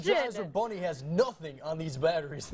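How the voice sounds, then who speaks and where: Music in the background behind a man talking at a fairly quick pace with very wide pitch swings. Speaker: TV news anchor. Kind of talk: news teaser read.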